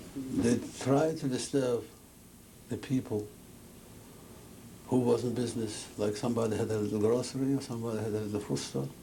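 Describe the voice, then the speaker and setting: A man of medium pitch at a fairly quick pace, with long, frequent pauses and audible room echo. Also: ordinary pitch variation. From Poland, Kielce. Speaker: Holocaust survivor. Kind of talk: testimony. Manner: halting.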